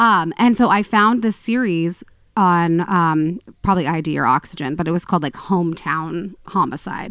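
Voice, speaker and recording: A woman speaks at a moderate pace with a fairly low pitch and ordinary pitch variation, in a normal speaking voice. The recording is very clean, with a silent background. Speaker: podcast host. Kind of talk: casual chat and true crime storytelling.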